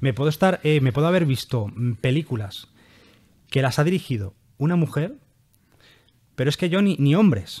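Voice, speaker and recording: With lively intonation and a somewhat breathy sound, a man speaks fairly high at a moderate pace, leaving long, frequent pauses. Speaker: podcast host. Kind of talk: casual chat.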